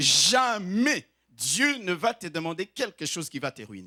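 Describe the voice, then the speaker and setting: A raised, projected voice with a bright, sharp tone moves very slowly through very wide pitch swings and big shifts in loudness. The sound is dry and close with no echo, on a very clean recording with a silent background. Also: man. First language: not French (speaking French). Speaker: pastor. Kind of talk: sermon. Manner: exhortative, emphatic.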